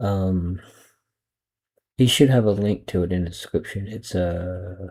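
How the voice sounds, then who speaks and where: A man's very deep, low voice, somewhat breathy, with fairly even intonation. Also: fairly slow pace. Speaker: online video commentator. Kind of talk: reaction commentary. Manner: talking low; halting.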